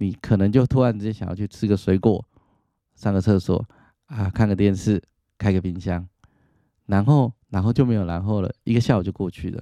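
Against a quiet background, a man with a fairly low pitch and a dark, mellow tone speaks with long, frequent pauses. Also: dry, close sound with no echo. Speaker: psychologist podcast host. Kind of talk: casual monologue.

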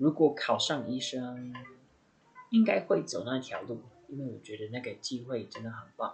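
At a moderate pace, a man with a medium pitch speaks with big swings in loudness and ordinary pitch variation. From US Midwest (Indiana). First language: English (speaking Chinese). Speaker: medical student. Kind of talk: casual chat.

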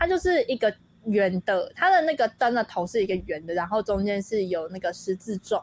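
Fairly quick and lively in intonation, a woman speaks at a medium pitch in a dry, close sound with no echo, with noticeable background noise behind her. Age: 20s. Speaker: college student and dancer. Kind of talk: casual chat.

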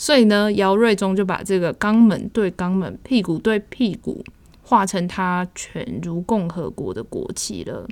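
A woman speaks in a normal speaking voice at medium pitch. Her pace is fairly slow, with big swings in loudness. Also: ordinary pitch variation. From Taiwan. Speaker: exhibition review podcast host. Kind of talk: casual chat.

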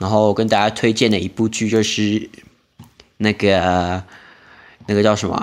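A man speaks at a moderate pace in a fairly low pitch, with monotone, flat intonation and long, frequent pauses. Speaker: podcast host. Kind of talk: casual solo monologue.

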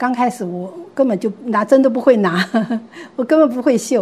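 A woman talks at a moderate pace with ordinary pitch variation while noticeable background noise carries on behind her. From Taiwan, Gangshan (Kaohsiung). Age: 70s. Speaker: retiree and senior learner. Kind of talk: interview storytelling.

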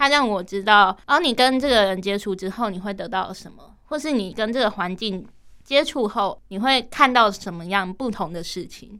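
Over a silent background on a very clean recording, a woman with a bright, sharp tone and medium pitch speaks at a moderate pace, her loudness swinging widely. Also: lively intonation. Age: 18. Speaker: university student with cochlear implants. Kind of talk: radio interview conversation.

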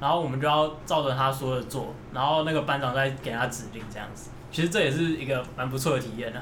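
A man's medium-pitched, very fast speech with fairly even intonation, audible room echo and noticeable background noise. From Taiwan. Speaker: emigrant friend sharing experiences. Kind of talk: casual chat.

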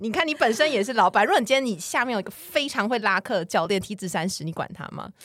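Talking at a very fast pace with hardly any pauses, a woman has a fairly high pitch. Her voice makes very wide pitch swings and big swings in loudness. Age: 30s. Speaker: podcast co-host. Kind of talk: casual chat.

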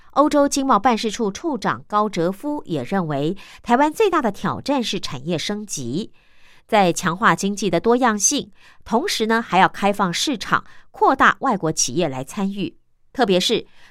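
A woman's medium-pitched voice with very wide pitch swings and a fairly slow pace, in a very clean recording with a silent background. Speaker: radio host. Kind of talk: radio news magazine reading. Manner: chatty, many particles like 哦 啊.

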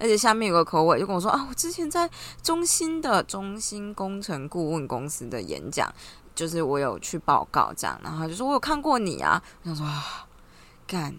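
Her tone animated, a woman with a medium-pitched voice speaks with very wide pitch swings. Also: fairly quick pace. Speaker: graduate student vlogger. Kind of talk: casual vlog monologue.

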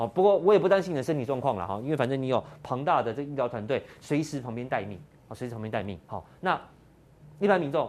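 Talking at a fairly quick pace, a man sounds animated, his pitch swinging very widely. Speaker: political talk show host. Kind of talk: casual political commentary.

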